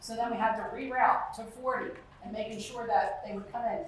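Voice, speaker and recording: At a fairly quick pace, a woman with an American accent talks in a fairly high voice with fairly even intonation, over noticeable background noise and audible room echo. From US Northeast (South Jersey, Deptford). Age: 60s. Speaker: resident speaking at public meeting. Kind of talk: public comment at community meeting.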